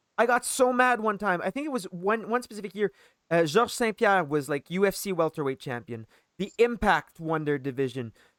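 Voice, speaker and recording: A Quebec accent at a fairly quick pace, on a very clean recording with a silent background. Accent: Quebecois French. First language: French. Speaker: podcast host. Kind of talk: casual chat.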